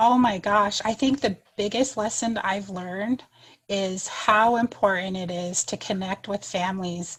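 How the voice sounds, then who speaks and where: Somewhat breathy and medium in pitch, a woman with an American accent speaks at a fairly slow pace with fairly even intonation. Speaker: third-grade teacher. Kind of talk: podcast interview.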